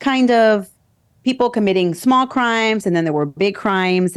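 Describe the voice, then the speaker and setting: A woman with an American accent speaks with an ordinary speaking voice at a moderate pace, her intonation lively against a quiet background. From US Northeast, New Jersey. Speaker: former military lawyer and true crime podcaster. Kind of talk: interview.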